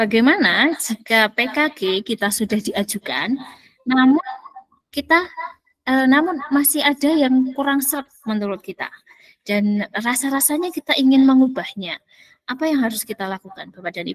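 Over a quiet background, a woman speaks at a moderate pace in a high pitch, with lively intonation and big swings in loudness. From Magelang, Central Java. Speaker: community organizer and emcee. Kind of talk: webinar presentation. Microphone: headset.

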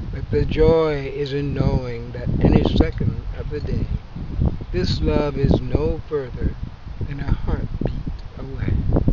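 A man speaks very slowly in a dry sound with no echo, while loud background noise fills the recording. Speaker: poet. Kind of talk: poetry reading. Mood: calm, warm, reflective. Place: garden.

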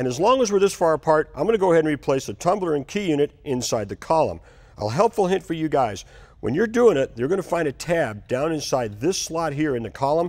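The speech runs at a very fast pace over a quiet background. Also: man. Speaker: TV car restoration host. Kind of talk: tutorial. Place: garage.

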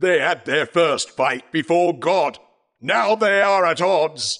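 The speaker talks at a fairly slow pace against a quiet background. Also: man, high pitch for a man. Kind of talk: stage play acting. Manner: solemn, explanatory, warning.

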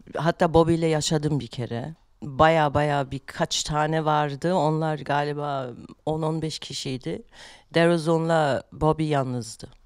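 A woman speaks at a very deep, low pitch and a very slow pace with fairly even intonation. The sound is dry with no echo against a quiet background. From Germany. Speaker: rapper; podcast guest. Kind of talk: casual chat; interview answer. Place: studio. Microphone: studio mic.

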